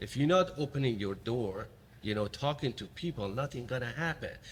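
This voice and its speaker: Speaking at a fairly quick pace, a man with a Middle Eastern accent sounds somewhat breathy. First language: not English (speaks five languages). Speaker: podcast host. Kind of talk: interview conversation. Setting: remote recording. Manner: halting, repeats words.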